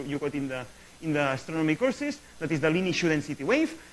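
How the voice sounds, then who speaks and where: Speaking very fast with lively intonation, a man uses a fairly high voice. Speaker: astrophysicist. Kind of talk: lecture.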